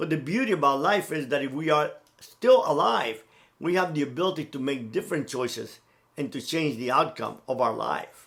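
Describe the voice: A man's fairly high, fairly bright voice with vocal fry, lively intonation and a moderate pace.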